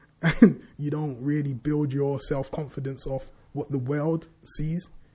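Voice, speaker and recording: A man with a London accent talks in a dark, mellow tone, somewhat breathy, with fairly even intonation. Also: fairly high pitch for a man, fairly slow pace. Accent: London multicultural English. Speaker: podcast co-host. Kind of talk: casual chat.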